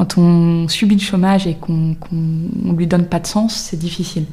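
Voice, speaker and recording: A woman at a very slow pace against noticeable background noise. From Brittany, France. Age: 30s. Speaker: career coach. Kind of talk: panel discussion.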